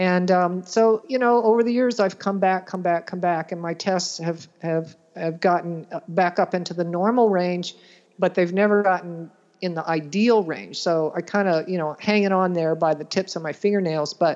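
Her intonation fairly even, a woman with an unremarkable speaking voice talks at a medium pitch and a moderate pace. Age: 60s. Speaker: nutrition practitioner. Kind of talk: interview.

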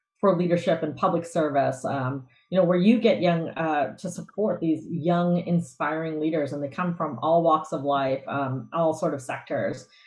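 A woman's fairly low, somewhat breathy voice at a moderate pace, with ordinary pitch variation. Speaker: guest host. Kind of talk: interview conversation.

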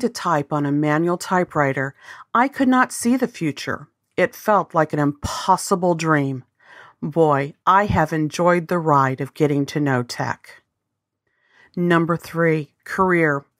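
A plain, everyday voice with an American accent comes at a fairly slow pace in a dry, close sound with no echo, on a very clean recording with a silent background. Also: woman, fairly low pitch for a woman, lively intonation. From US South, Arkansas. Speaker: business coach, podcast host. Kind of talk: scripted podcast monologue.

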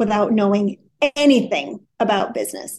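Here a woman speaks in a plain, everyday voice with an American accent and a medium pitch. Her pace is moderate, over a quiet background. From US Midwest, Wisconsin. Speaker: business consultant, CEO. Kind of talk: interview.

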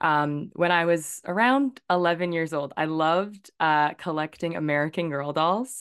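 A woman with a Canadian accent and a plain, everyday voice speaks at a moderate pace with hardly any pauses against a quiet background. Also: fairly low pitch for a woman, ordinary pitch variation. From Victoria, British Columbia, Canada. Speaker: journalist. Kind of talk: interview.

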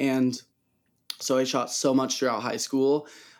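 On a very clean recording with a silent background, a man with a plain, everyday voice and a fairly high pitch speaks at a moderate pace. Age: 20s. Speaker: photographer. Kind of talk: casual interview.

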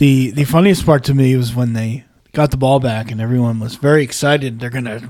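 The voice is an unremarkable speaking voice. It moves at a fairly quick pace. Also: man. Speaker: podcast host. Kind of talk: casual banter podcast.

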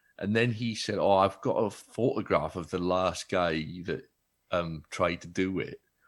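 In a South Wales accent, a man with a very deep, low pitch speaks at a fairly slow pace with ordinary pitch variation on a very clean recording with a silent background. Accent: Welsh (South Wales). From Wales (Baglan, Neath Port Talbot). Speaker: comedian. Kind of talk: casual chat.

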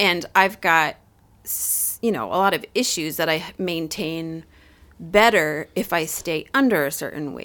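On a very clean recording with a silent background, a woman with fairly low pitch and a bright, sharp tone speaks at a fairly slow pace, with ordinary pitch variation and big swings in loudness. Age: 40s. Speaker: podcast co-host. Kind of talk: casual chat.

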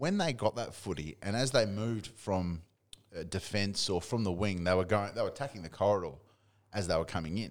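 A man with an Australian accent speaks at a fairly quick pace on a very clean recording with a silent background. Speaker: football podcast co-host. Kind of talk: casual banter about AFL. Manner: profane, opinionated.

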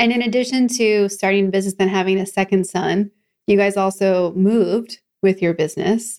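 A woman with a plain, everyday voice talks at a fairly quick pace in a medium pitch. Her intonation is fairly even and her loudness very even. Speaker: podcast host and business coach. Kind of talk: interview.

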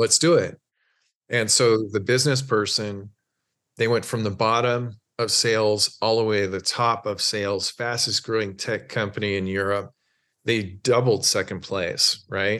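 Against a quiet background, a man with an American accent talks in an unremarkable speaking voice, fairly low in pitch, at a moderate pace with fairly even intonation. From US, small town in Oregon. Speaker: mental performance coach, former elite swimmer. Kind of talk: interview conversation.

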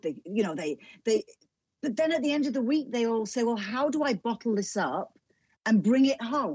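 Fairly high-pitched, somewhat breathy woman's voice with very wide pitch swings. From northern England, near Liverpool. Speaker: author and television presenter. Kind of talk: casual interview.

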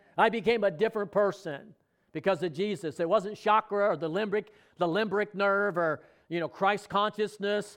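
A man speaks at a moderate pace in a high pitch. His intonation stays fairly even against a quiet background. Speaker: preacher. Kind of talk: sermon. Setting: church with congregation. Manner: call-and-response, prompting the congregation to answer amen.

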